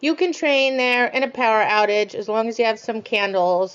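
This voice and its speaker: A woman speaks loudly. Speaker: dog trainer. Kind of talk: pre-recorded webinar presentation.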